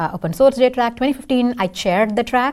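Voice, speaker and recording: Against a silent background on a very clean recording, a woman speaks at a very fast pace. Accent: Indian. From India. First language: Tamil. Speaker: software engineer and singer. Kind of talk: casual interview.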